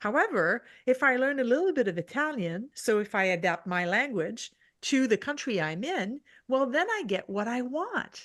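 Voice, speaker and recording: A French accent at a moderate pace, with very wide pitch swings and a quiet background. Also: woman. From French-speaking region. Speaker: leadership strategist. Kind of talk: podcast interview. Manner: halting, self-correcting.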